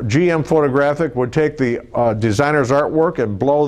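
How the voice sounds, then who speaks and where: A plain, everyday voice from a man, medium in pitch, with ordinary pitch variation at a moderate pace. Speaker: automotive artist and car designer. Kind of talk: casual explanatory talk, interview answer.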